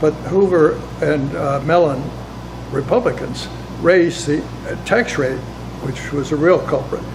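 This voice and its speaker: A man speaks at a fairly slow pace, leaving long, frequent pauses. Audible room echo and noticeable background noise surround his voice. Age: 80s+. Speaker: former ambassador. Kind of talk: interview. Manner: halting.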